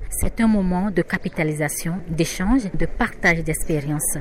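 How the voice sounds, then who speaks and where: Against noticeable background noise, a woman speaks fairly slowly at a fairly low pitch. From Benin. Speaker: journalist, editor-in-chief. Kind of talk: interview soundbite.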